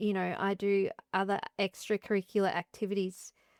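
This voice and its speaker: A woman of medium pitch with an Australian accent, on a very clean, silent-background recording with a dry, close sound and no echo. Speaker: interdisciplinary artist and composer. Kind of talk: interview conversation. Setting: artist studio.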